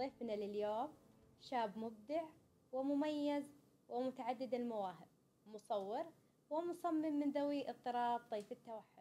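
Speaking at a very slow pace with long, frequent pauses, a woman uses a high pitch, ordinary pitch variation and a dark, mellow tone. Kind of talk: interview.

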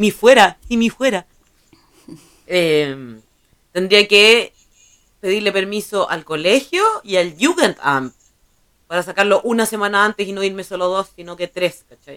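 At a fairly slow pace with long, frequent pauses, a woman speaks at a medium pitch with lively intonation and big swings in loudness. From Chile. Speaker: podcast co-host. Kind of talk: casual chat.

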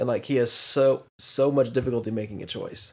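This is a man with an unremarkable speaking voice. He talks at medium pitch and a moderate pace. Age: 20s. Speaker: podcast co-host. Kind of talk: casual chat.

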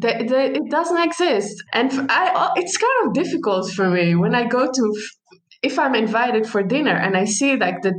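Speaking at a moderate pace, a woman with an Arabic accent makes very wide pitch swings. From Palestine. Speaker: social worker. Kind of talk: casual chat. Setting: long-distance call.

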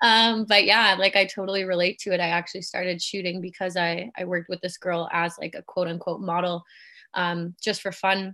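In a Canadian accent, a woman speaks at a fairly quick pace with a bright, sharp tone, medium pitch and monotone, flat intonation over a quiet background. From Germany, moved to Canada at eight. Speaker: photographer. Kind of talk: casual chat.

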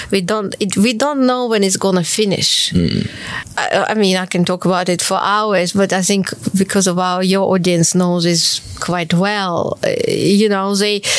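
Fairly slow speech with fairly even intonation and very even loudness, over noticeable background noise. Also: woman, medium pitch for a woman. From Ukraine, Kharkiv. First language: Ukrainian or Russian. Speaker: pianist and composer. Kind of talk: interview.

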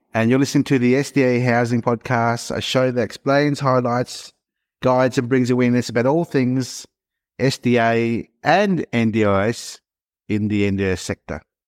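Recorded very cleanly against a silent background with a dry, close sound and no echo, a man uses a normal speaking voice at a medium pitch, with ordinary pitch variation, very even loudness and a moderate pace. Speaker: podcast co-host. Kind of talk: podcast interview.

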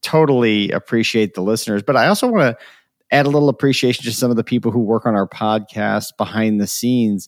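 In an unremarkable speaking voice, a man at medium pitch speaks with ordinary pitch variation, dry and close with no echo, on a very clean recording with a silent background. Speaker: podcast host and personality psychologist. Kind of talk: casual conversation podcast.

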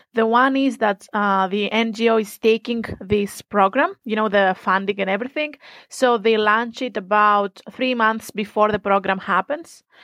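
A woman's fairly high voice with a Greek accent and fairly even intonation, dry and close with no echo. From Greece. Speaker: student. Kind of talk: interview.

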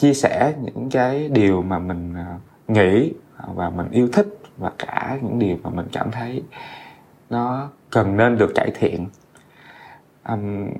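A man speaks at a very slow pace with long, frequent pauses. His medium pitch shows ordinary variation. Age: 30s. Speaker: podcast host. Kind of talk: casual monologue. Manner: hesitant, many fillers.

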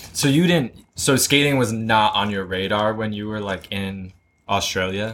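A man has an unremarkable speaking voice, with a fairly low pitch and ordinary pitch variation. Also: moderate pace. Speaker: podcast host. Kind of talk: casual interview. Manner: casual, frequent backchannel.

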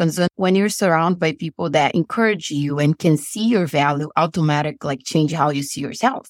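A woman with a Brazilian Portuguese accent, ordinary pitch variation and a moderate pace. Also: dry, close sound with no echo. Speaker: business coach. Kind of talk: interview.

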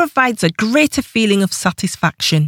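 A woman with an ordinary speaking voice talks at a moderate pace with lively intonation. The recording is very clean with a silent background, and the sound is dry and close with no echo. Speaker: audiobook narrator and author. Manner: even, measured and clear, with a warm encouraging tone.

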